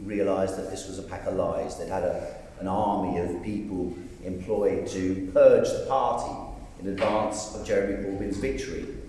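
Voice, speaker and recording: A man talks at a moderate pace. Noticeable background noise and audible room echo are present. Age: 60s. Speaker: parliamentary candidate. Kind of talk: election hustings speech. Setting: church hall with audience.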